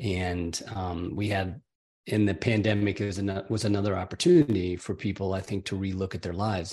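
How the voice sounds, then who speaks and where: Against a quiet background, a man with an American accent speaks at a moderate pace in a very deep, low pitch, somewhat breathy, with fairly even intonation. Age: 70s. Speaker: author and coach. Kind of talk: casual interview chat.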